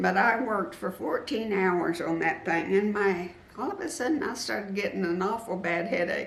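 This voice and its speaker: Amid audible room echo and noticeable background noise, a woman speaks at a moderate pace and medium pitch, with lively intonation and hardly any pauses. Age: 70s. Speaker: quilting YouTuber. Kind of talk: interview. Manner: halting.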